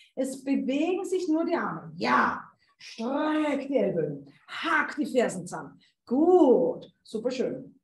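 A woman speaks with audible room echo. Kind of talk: exercise class instructions. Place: home room. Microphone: video call.

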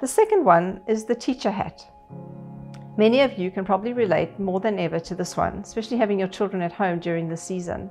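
Faint music plays in the background. A woman speaks at a moderate pace with ordinary pitch variation. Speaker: pastor. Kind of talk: sermon. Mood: warm, calm. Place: home room.

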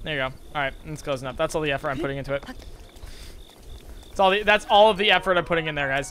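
A man with a bright, sharp tone uses a raised, projected voice and lively intonation. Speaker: video game streamer. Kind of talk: live gameplay stream commentary. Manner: casual, clipped word endings; animated.

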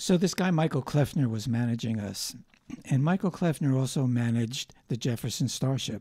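Against a quiet background, a man with an American accent talks at a fairly quick pace in a dark, mellow tone with ordinary pitch variation. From New Jersey, US. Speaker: singer-songwriter; guest. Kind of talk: interview. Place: studio. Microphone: studio mic.

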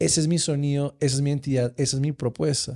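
Against a quiet background, a dark, mellow voice moves at a moderate pace. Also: man. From Colombia. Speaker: podcast host. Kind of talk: casual interview. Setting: studio. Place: studio. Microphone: studio mic.

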